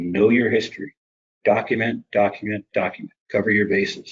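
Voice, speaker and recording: The speaker is a man. His delivery is fairly slow. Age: 60s. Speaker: conference presenter on standards. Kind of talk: presentation.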